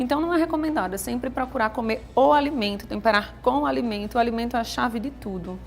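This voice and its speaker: A woman talks at a very fast pace with hardly any pauses, her fairly high voice making very wide pitch swings. Music plays in the background. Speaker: nutritionist. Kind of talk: TV interview. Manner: talkative.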